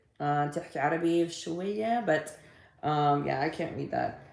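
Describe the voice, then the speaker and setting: Very slow woman's voice with a very deep, low pitch and audible room echo. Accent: American. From Texas. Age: 40s. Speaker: livestreamer and social media coach. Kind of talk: casual livestream chat. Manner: animated.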